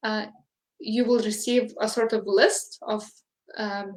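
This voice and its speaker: Speaking fairly slowly with a Lithuanian accent, a woman keeps a fairly even intonation at a fairly high pitch. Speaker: English teacher. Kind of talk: interview. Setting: live online interview.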